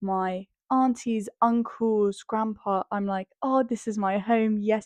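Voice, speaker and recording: In a British accent, a woman speaks at a medium pitch with fairly even intonation, in a dry, close sound with no echo. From England. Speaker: podcast co-host. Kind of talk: casual chat.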